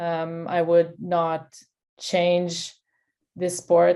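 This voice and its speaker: The speaker has a dark, mellow tone in a Quebec accent. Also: woman. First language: French. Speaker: sports nutritionist. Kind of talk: interview.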